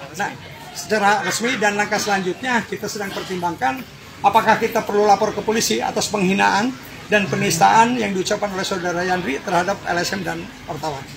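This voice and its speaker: With noticeable background noise behind him, a man talks at a very fast pace in a high pitch with ordinary pitch variation. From Indonesia, Banten (Pandeglang). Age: 60s. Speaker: NGO forum leader. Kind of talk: press interview.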